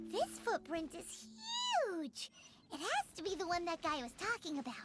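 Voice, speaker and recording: An extremely high-pitched, put-on character voice moves at a moderate pace. Clear background noise is present. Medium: video game. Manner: lively, chatty.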